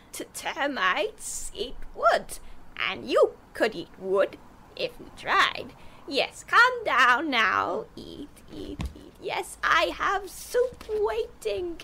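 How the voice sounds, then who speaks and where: Putting on a character voice, a woman speaks at a very slow pace with an extremely high pitch. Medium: audio drama. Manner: fragmented, singsong, rambling.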